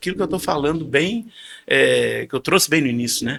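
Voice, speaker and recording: Here we hear a male voice. The audio is dry and close-miked, without any echo. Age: 60s. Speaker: podcast guest, financial market professional. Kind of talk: casual interview chat. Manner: animated; halting, repeats words.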